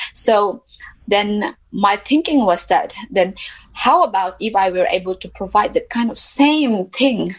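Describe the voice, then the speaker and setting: Somewhat breathy, a woman speaks at a fairly slow pace in a medium pitch with lively intonation. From Mizoram, northeast India. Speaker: social entrepreneur. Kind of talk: interview. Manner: hesitant with fillers.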